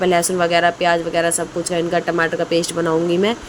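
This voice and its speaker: Noticeable background noise beneath a fairly low female voice. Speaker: cooking vlogger. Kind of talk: casual vlog narration. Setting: home kitchen.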